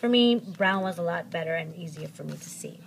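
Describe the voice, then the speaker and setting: The somewhat breathy voice goes at a fairly quick pace with ordinary pitch variation. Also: woman. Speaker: planner vlogger. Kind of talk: tutorial. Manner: fast; hesitant with fillers.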